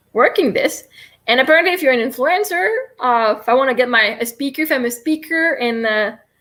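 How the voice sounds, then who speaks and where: A woman with a Quebec accent speaks in a high, bright, sharp tone with lively intonation. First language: French. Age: 30s. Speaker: livestreamer and self-help coach. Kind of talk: live stream guided tapping session. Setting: live stream. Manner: fast.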